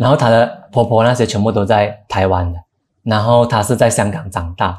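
The recording is very clean, with a silent background. A man talks at a moderate pace and medium pitch, sounding somewhat breathy. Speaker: film director. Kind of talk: interview.

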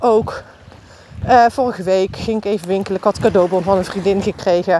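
A woman's fairly quick, fairly even-toned speech comes through noticeable background noise. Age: 40s. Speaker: podcast host. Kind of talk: personal monologue. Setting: outdoors, walking.

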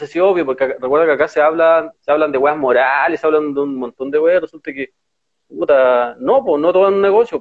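At a very fast pace, a man talks with a fairly high pitch, ordinary pitch variation and big swings in loudness. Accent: Chilean. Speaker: political podcast co-host. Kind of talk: casual political chat. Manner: animated.

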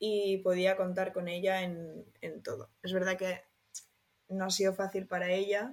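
In a flat, monotone delivery, a woman speaks at a medium pitch and a fairly slow pace. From Spain, Barcelona. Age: 20s. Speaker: law student sharing eating disorder recovery. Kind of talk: personal testimony interview.

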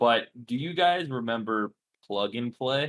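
This is a plain, everyday voice. A man talks at a medium pitch and a fairly slow pace. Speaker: podcast co-host. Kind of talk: casual chat.

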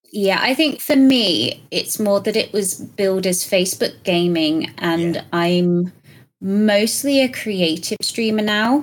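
A woman of medium pitch speaks very slowly with lively intonation. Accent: British. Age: 30s. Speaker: content creator. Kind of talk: casual chat.

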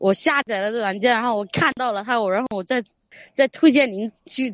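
With ordinary pitch variation, a woman talks at a moderate speed in a fairly high voice. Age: young. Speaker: caller seeking relationship advice. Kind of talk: advice call. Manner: halting.

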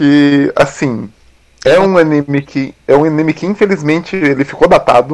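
Here is an unremarkable speaking voice from a man with a fairly high pitch. He keeps a moderate pace with ordinary pitch variation. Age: 30s. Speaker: designer, podcast co-host. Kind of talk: casual chat.

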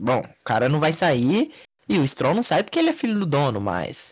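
With a fairly high pitch and a somewhat breathy quality, the man's voice swings very widely up and down. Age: 20s. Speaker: motorsport podcast co-host. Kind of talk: casual sports chat.

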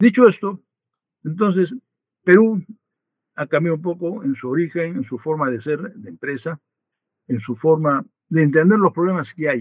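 A man speaks at a moderate pace with long, frequent pauses. His voice is high-pitched, with lively intonation. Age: 80s+. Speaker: retired business leader, banker. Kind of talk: interview.

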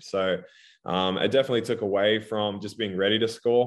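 A voice with an Australian accent speaks with fairly even intonation. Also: man. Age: 30s. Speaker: professional basketball player. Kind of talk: casual chat.

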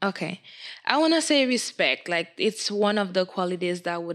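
A woman at a moderate pace. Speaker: college student guest. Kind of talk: casual chat. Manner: reserved.

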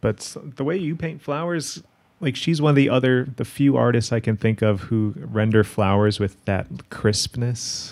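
A man's ordinary speaking voice at medium pitch, with lively intonation and a moderate pace. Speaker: podcast host. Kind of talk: casual interview conversation.

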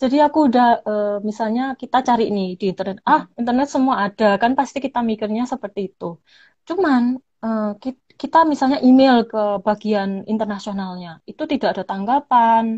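With an ordinary speaking voice, a woman talks at a moderate pace and a fairly high pitch, with ordinary pitch variation and hardly any pauses. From Malang, East Java, Indonesia. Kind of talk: casual interview.

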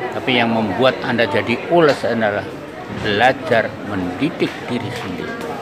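Against crowd noise in the background and audible room echo, a man speaks at a medium pitch. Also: ordinary pitch variation, moderate pace. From Central Java, Indonesia (Blora). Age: 80s+. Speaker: writer. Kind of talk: interview. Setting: outdoors.

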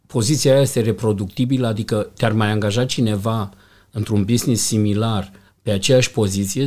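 At a moderate speed and medium pitch, a man talks in a somewhat breathy voice. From Romania, Iași. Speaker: hotel general manager. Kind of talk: interview.

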